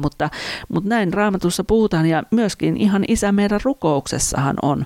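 A woman speaks at a moderate pace with ordinary pitch variation in an unremarkable speaking voice. The sound is dry and close, with no echo. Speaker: podcast host, church worker. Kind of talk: devotional teaching monologue.

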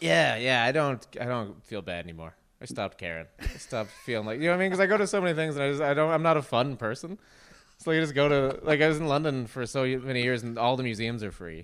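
A man talks at a very fast pace in a Nova Scotian accent. His medium-pitched voice swings very widely in pitch. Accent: Nova Scotian Canadian. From Nova Scotia, near New Glasgow. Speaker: comedian. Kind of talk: casual chat.

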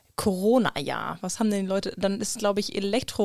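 A woman talks at a moderate pace at medium pitch, in an ordinary speaking voice. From Germany, Krefeld (Lower Rhine). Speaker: podcast co-host. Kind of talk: casual chat.

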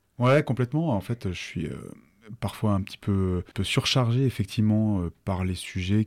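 This man uses a fairly low pitch and ordinary pitch variation while talking at a fairly slow pace. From Savoie, France (Annecy). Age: 50s. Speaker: entrepreneur. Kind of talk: interview. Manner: halting.

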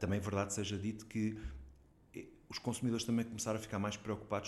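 A man's fairly low voice at a very fast pace, in monotone, flat intonation. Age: 50s. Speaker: digital economy association president. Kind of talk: interview.

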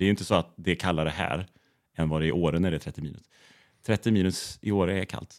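Very fast speech with fairly even intonation, dry and close with no echo, on a very clean recording with a silent background. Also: man. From Bohuslän, west coast Sweden. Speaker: photographer. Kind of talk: casual interview chat.

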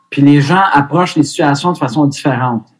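A man with a normal speaking voice talks at a fairly quick pace and fairly high pitch, his intonation fairly even. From Quebec, Montreal (Ville Mont-Royal). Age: 50s. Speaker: hockey goaltending coach. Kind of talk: casual interview.

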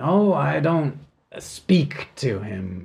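In a put-on character voice, the speaker delivers rumbling words at a very slow pace. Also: man. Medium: actual play. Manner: grumbling, dismissive.

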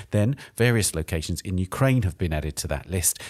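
At a fairly quick pace, a man with a very deep, low pitch and vocal fry speaks in a dry, close recording with no echo. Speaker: arts podcast host. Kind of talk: scripted intro and interview. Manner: formal.

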